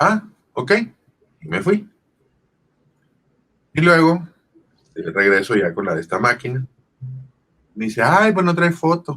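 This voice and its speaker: Very wide pitch swings mark this man's fairly slow delivery. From Sonora, Mexico. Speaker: voice actor. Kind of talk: interview answer. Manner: casual storytelling.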